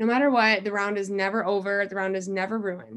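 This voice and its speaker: Talking at a very fast pace, a woman has an American accent. Her voice sits at a medium pitch. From Iowa, US Midwest. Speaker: college golfer. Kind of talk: interview. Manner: casual with frequent fillers.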